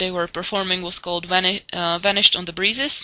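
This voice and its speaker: A woman with a non-native accent speaks at medium pitch. Her tone is bright and sharp, with fairly even intonation. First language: not English. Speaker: TV show reviewer. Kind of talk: casual monologue review. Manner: hesitant, many fillers.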